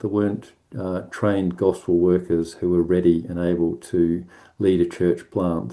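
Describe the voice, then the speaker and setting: A man's very deep, low voice with a dark, mellow tone, ordinary pitch variation and a moderate pace, against a quiet background. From New Zealand, South Island (Timaru). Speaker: ministry organisation manager. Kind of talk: presentation at online prayer meeting. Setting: online video call. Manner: hesitant, many fillers.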